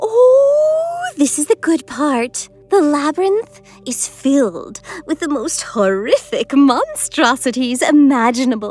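Someone uses a put-on character voice at a fairly slow pace. Faint music plays in the background. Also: female-sounding voice, high pitch for a woman. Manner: bubbly, sadistic.

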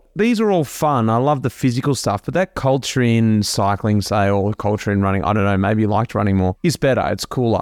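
Recorded very cleanly against a silent background, with a dry, close sound and no echo, a man with an Australian accent talks at a fairly quick pace with hardly any pauses, his medium pitch showing ordinary variation and his loudness very even. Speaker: podcast host, former pro cyclist. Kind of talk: casual interview chat.

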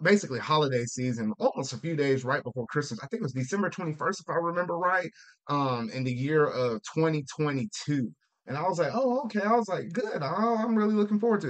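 Talking at a fairly quick pace, the man has a normal speaking voice with a fairly high pitch. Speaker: podcast host, gaming YouTuber. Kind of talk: casual chat, video podcast. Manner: casual, rambling, repeats words.

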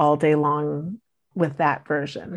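Against a quiet background, a woman with an American accent speaks at a very slow pace. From US, Washington DC area. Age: 40s. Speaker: school board member-elect. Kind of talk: interview. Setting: video call.

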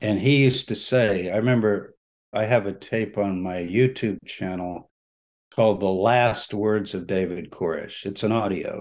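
A man with a normal speaking voice talks at a fairly low pitch with fairly even intonation. His pace is moderate, and the background is quiet. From Texas. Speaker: religious studies scholar. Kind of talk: interview. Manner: conversational, with frequent fillers.

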